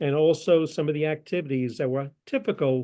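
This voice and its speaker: Over a quiet background, a man with an American accent speaks at a moderate pace in a fairly high pitch, his dark, mellow tone showing ordinary pitch variation. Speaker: presenter, retired lawyer. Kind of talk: lecture presentation.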